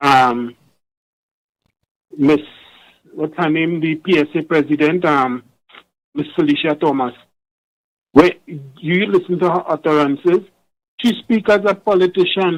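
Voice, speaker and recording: Pausing long and often, a man speaks at a fairly slow pace with a fairly high pitch and ordinary pitch variation. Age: 60s. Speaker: caller. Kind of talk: call-in radio talk. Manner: halting.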